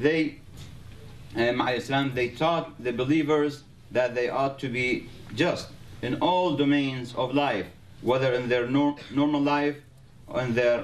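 This man talks at a fairly slow pace, with long, frequent pauses, very even loudness and fairly even intonation. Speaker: community member speaking about the guest. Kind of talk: testimonial. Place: hall.

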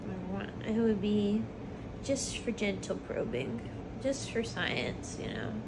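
Speaking very slowly, a woman is heard against noticeable background noise. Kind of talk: groggy rambling chat. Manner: sleepy, slurred anesthesia talk.

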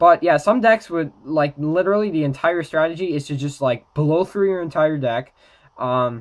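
Against a quiet background, a man with a fairly high voice and ordinary pitch variation speaks at a moderate pace. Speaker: trading card game YouTuber. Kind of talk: casual talk to camera. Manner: hesitant, many filler words. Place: home room.

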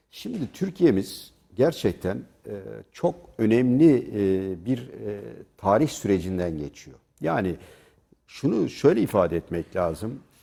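Pausing long and often, a man with a fairly low, dark, mellow voice speaks very slowly with very wide pitch swings, recorded very cleanly against a silent background. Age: 60s. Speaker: journalist. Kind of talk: TV panel debate. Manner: animated; loud.

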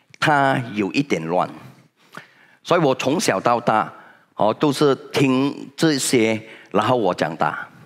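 A man at a very slow pace over a quiet background. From Malaysia. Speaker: senior direct-sales leader; motivational speaker. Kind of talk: motivational talk. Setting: stage with audience. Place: hall. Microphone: headset.

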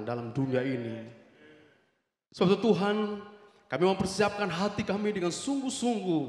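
In a room with audible echo, a man speaks with very wide pitch swings. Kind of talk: public prayer. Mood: fervent, earnest. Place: church. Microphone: handheld.

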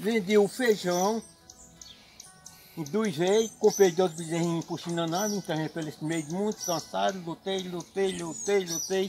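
Over music in the background, a man with a high pitch talks at a moderate pace. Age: 70s. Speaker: farmer. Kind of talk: interview answer. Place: farm. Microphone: phone near.

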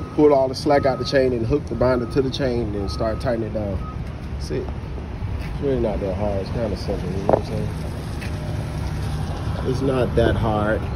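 A man speaks at a fairly quick pace with loud background noise behind him. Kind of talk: casual vlog tutorial. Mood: relaxed, a bit weary. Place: street. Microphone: phone near.

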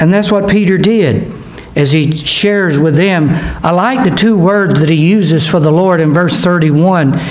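This man's voice sits high in pitch. His pitch varies in an ordinary way. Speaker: pastor. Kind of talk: sermon. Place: church. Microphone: podium.

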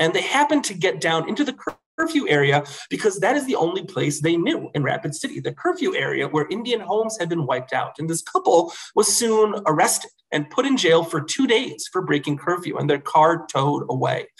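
Speaking fairly quickly with an American accent, a man uses a high pitch that swings very widely. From New York State. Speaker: historian. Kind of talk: lecture. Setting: video call.

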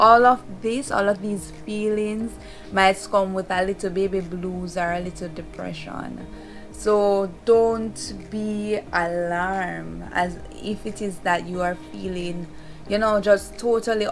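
A woman talks at a very slow pace with fairly even intonation. Clear music plays in the background. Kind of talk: casual vlog chat. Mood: warm, reassuring. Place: home room. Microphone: phone near.

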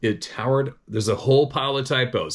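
A quiet background behind a man speaking. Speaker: channel host reading viewer emails. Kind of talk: casual vlog monologue with read-aloud emails. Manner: rambling, conversational. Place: home room. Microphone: phone near.

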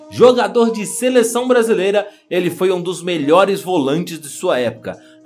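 Music plays in the background while the speaker goes at a moderate pace. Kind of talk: football story narration. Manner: casual, conversational.

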